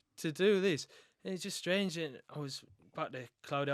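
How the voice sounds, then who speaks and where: A man with a Mackem accent at a fairly quick pace, ordinary pitch variation, dry and close with no echo, on a very clean recording with a silent background. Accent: North East English (Mackem). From North East England, Sunderland. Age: 20s. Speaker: retired footballer. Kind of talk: casual chat.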